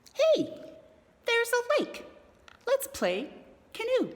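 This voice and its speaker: Her put-on character voice is squeaky and extremely high in pitch. The woman talks fairly slowly. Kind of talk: bedtime story. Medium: read story. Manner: earnest, excitable.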